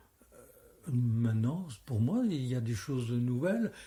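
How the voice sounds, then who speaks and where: Very slow, somewhat breathy speech. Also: man. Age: 80s+. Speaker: street theatre director. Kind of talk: interview. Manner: halting.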